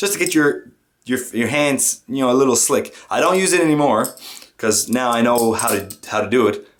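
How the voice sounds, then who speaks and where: A man with a French Canadian accent at a moderate pace. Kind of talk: casual tutorial talk to camera.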